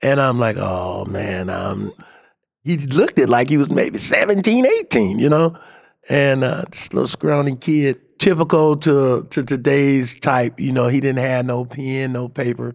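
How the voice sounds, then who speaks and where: A man with an American accent speaks in an ordinary speaking voice at a medium pitch. His pace is fairly slow and his intonation lively. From Cleveland, Ohio. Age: 60s. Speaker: exonerated former death row prisoner. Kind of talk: personal testimony.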